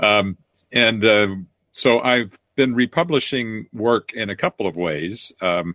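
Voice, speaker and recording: A plain, everyday voice, this man's fairly low pitch carries lively intonation in a dry, close sound with no echo. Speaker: science fiction author and publisher. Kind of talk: casual interview chat.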